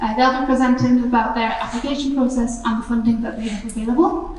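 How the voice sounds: High-pitched woman's voice with a slightly mellow tone and audible room echo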